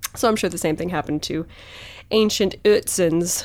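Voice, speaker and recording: The recording is very clean, with a silent background. A woman speaks fairly quickly with lively intonation in an unremarkable speaking voice. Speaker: podcast host. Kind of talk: casual chat.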